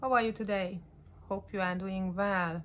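A woman at a moderate pace with light background noise. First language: not English. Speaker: YouTuber. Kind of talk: casual vlog monologue. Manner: halting, stumbling over words. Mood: warm, friendly. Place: home room. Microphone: phone near.

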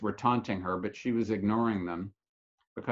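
Quiet surroundings behind a natural reading voice

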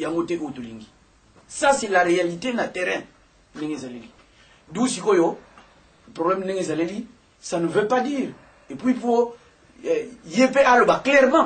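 At a very slow pace with long, frequent pauses, a man speaks at a high pitch with very wide pitch swings. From DR Congo. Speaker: opposition politician. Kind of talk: political talk show discussion. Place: office.

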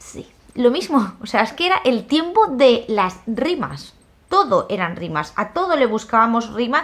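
A woman's high-pitched, animated voice with very wide pitch swings at a fairly slow pace. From Spain. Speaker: YouTuber. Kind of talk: casual vlog monologue. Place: home room. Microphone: phone near.

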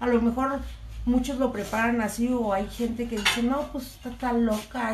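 A woman with a Mexican accent speaks in a flat monotone at a fairly high pitch and a fairly slow pace, over noticeable background noise. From Mexico. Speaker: cooking vlogger. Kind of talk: live stream cooking chat. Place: kitchen. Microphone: phone near.

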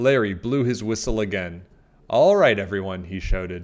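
An unforced voice reads the text.

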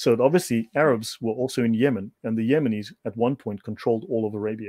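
Here a man talks at a medium pitch and fairly quick pace with a South African accent. His dark, mellow tone comes through in a dry, close sound with no echo. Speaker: researcher presenting on religious history. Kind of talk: informal lecture in a video chat.

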